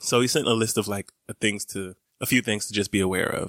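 On a very clean recording with a silent background and a dry, close sound with no echo, a man with an Atlanta accent and a fairly low pitch talks at a fairly quick pace with fairly even intonation. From Brooklyn and Atlanta. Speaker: podcast co-host. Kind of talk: casual chat.

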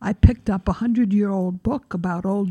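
A woman's somewhat breathy, dark and mellow voice of medium pitch with an American accent and ordinary pitch variation, in a dry, close sound with no echo. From Pennsylvania, then Queens from ninth grade. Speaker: urban historian and tour guide. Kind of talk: interview.

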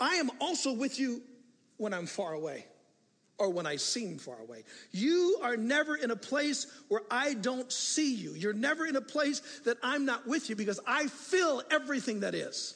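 At a moderate pace, a man talks in an extremely high pitch with big pitch swings and a fairly bright tone.

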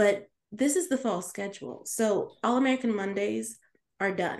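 A woman uses an ordinary speaking voice with ordinary pitch variation at a moderate pace. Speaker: podcast host. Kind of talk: casual chat.

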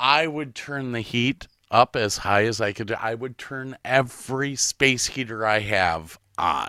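A bright, sharp tone comes with an American accent. The recording is very clean with a silent background, dry and close with no echo. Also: man, medium pitch for a man, ordinary pitch variation, fairly slow pace. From Ohio, Medina. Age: 50s. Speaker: podcast host. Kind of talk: casual chat.

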